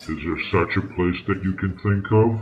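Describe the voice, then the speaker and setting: A man puts on a character voice at a very deep, low pitch. He moves at a moderate pace. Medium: audio drama. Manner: measured, earnest.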